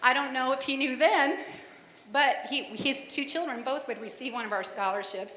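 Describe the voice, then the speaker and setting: With an American accent, a woman speaks at a fairly quick pace with ordinary pitch variation, amid noticeable background noise and audible room echo. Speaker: scholarship committee chairperson. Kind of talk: public address. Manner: loud.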